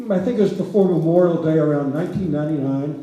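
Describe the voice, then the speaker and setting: Through noticeable background noise and audible room echo, a man talks with fairly even intonation. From rural Louisiana. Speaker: historian. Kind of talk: public lecture. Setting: theater stage with audience. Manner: conversational, with frequent fillers.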